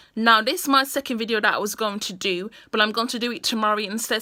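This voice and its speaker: Speaking with a British accent, a woman has a fairly high pitch, a bright, sharp tone and fairly even intonation. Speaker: vlogger. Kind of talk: casual monologue to camera.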